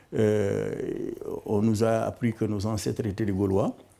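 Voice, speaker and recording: Very slowly and in a monotone, flat intonation, a man speaks with a fairly low pitch and a dark, mellow tone. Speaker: retired activist, interviewee. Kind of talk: documentary interview. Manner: halting, many repetitions.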